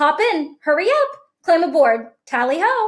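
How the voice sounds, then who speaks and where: In a put-on character voice, a woman speaks squeakily at an extremely high pitch and a moderate pace, her pitch swinging very widely. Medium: read story. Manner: jolly, exclamatory.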